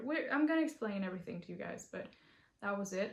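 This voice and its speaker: This woman's voice is fairly high-pitched and somewhat breathy. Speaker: knitting podcaster. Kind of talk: casual chat. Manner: animated.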